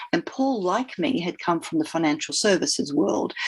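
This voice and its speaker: Very wide pitch swings mark this woman's speech. She has an Australian accent. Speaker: leadership coach and former fund manager. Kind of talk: podcast interview.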